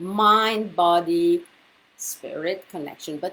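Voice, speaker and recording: Speaking in an Italian accent, a woman uses a medium pitch. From Italy. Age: 50s. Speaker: women's health coach and author. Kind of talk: live video talk. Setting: livestream from computer. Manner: halting, many fillers.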